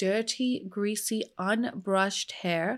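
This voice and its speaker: An unremarkable speaking voice from a woman, medium in pitch with ordinary pitch variation, on a very clean recording with a silent background. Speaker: true crime YouTuber. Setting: home studio. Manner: conversational, earnest storyteller, sometimes sighing or angry.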